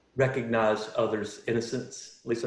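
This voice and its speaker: There is audible room echo around this man's voice. He speaks at a medium pitch with monotone, flat intonation. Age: 40s. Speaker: panelist sharing recovery story. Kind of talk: testimony. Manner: halting.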